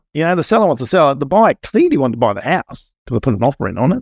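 Lively intonation comes through in an Australian accent. The recording is very clean, with a silent background and a dry, close sound with no echo. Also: man. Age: 50s. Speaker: building inspector and property investor. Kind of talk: casual interview chat.

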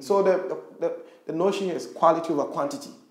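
A man's high-pitched voice at a very fast pace, with music in the background and audible room echo. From Ghana, rural Western Region. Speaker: social entrepreneur. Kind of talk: interview conversation.

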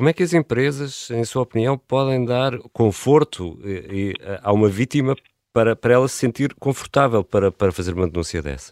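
In a very clean recording with a silent background and a dry, close sound free of echo, a man with an unremarkable speaking voice talks at a moderate pace and medium pitch, his intonation lively. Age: 40s. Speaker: radio podcast host. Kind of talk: interview; scripted narration.

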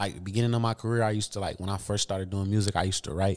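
A man with an American accent, fairly low in pitch, at a very fast pace with fairly even intonation, in a very clean recording against a silent background. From Michigan (Grand Rapids). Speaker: rapper. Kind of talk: casual interview. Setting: studio.

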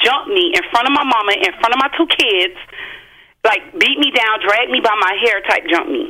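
Noticeable background noise surrounds a woman's fairly high-pitched voice. She talks at a moderate pace with lively intonation. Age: 30s. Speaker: caller. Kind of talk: testimony.

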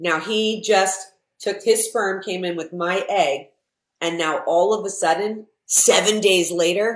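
A woman with a normal speaking voice talks at a fairly slow pace. Her pitch is medium, with ordinary variation. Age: 50s. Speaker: entrepreneur. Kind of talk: casual chat.

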